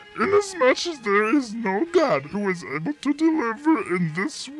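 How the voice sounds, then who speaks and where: A cartoonish character voice swings very widely in pitch at a moderate pace. Background noise is clearly audible. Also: man, extremely high pitch for a man. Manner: grandiose, laughing.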